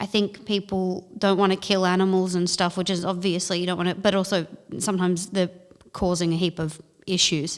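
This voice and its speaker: Speaking in an Australian accent, a woman talks at a fairly quick pace and a medium pitch with monotone, flat intonation. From North Queensland, Australia (Townsville). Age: young. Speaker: comedian. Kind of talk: casual chat.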